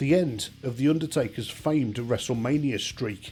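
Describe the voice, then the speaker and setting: With music playing in the background, a man speaks at a medium pitch and a moderate pace, his intonation lively. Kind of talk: documentary-style countdown narration.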